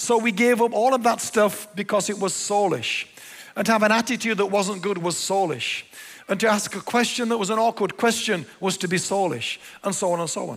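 An English accent, a fairly quick pace and fairly even intonation. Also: man, high pitch for a man. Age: 60s. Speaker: pastor. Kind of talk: sermon. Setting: church.

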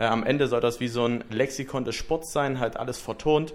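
An unremarkable speaking voice from a man, medium in pitch, fairly even in intonation, at a moderate pace. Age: 20s. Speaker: podcast host, business student. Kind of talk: casual podcast introduction.

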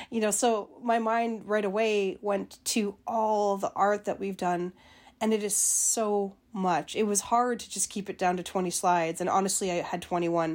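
On a very clean recording with a silent background, a woman uses a normal speaking voice at a medium pitch, with fairly even intonation and a moderate pace. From Winnipeg, Manitoba, Canada. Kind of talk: interview.

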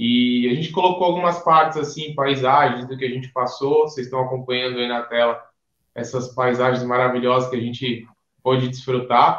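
This man has an unremarkable speaking voice with a medium pitch. He moves at a moderate pace, keeping his intonation fairly even. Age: 20s. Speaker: lawyer, former student. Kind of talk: casual interview, travel story.

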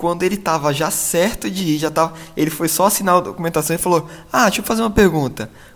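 A man talks in a normal speaking voice. His pitch variation is ordinary. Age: 20s. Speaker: pastor and former missionary. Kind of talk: casual chat.

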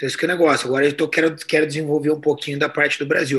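This man rattles off his words at a very fast clip, his voice sitting fairly high. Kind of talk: casual interview chat.

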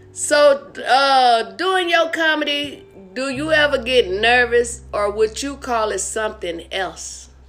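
The speech drags along very slowly. Background music accompanies it. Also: woman, high pitch for a woman, lively intonation. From Arkansas. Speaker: comedian and show host. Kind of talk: casual interview chat. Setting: video call.

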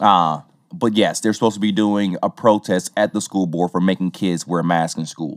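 A man with a Southern US accent speaks at a moderate pace, his pitch very deep and low. His intonation is fairly even, and the sound is dry and close with no echo. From Tennessee. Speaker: podcast host. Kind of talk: casual chat.

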